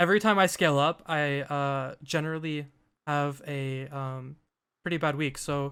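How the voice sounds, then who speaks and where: A man's bright, sharp tone sits at a fairly high pitch, moving at a moderate pace with fairly even intonation on a very clean recording with a silent background. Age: 20s. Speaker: day trader and interview host. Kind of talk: casual interview.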